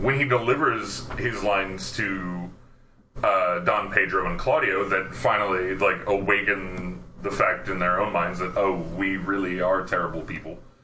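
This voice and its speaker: Over noticeable background noise, a man talks at a fairly slow pace in a very deep, low pitch. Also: ordinary pitch variation. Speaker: actor and podcast host. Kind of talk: casual chat.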